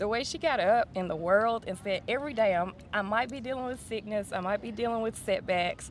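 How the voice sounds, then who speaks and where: A woman speaks quickly, with hardly any pauses, in a Southern US accent. Her pitch is fairly high with ordinary variation, and music plays in the background. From West Tennessee, USA. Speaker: singer-songwriter. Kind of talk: interview answer.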